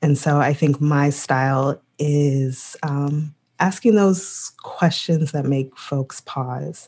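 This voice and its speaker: A woman's very deep, low voice with a dark, mellow tone and an American accent, very slow yet with hardly any pauses, in a fairly even intonation. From US Midwest. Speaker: podcast co-host. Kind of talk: casual chat. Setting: video call.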